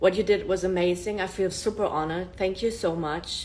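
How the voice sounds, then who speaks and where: A woman with a German accent speaks at a moderate pace in a fairly low pitch, with ordinary pitch variation. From Germany. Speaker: self-improvement influencer. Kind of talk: casual live-stream monologue. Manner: animated.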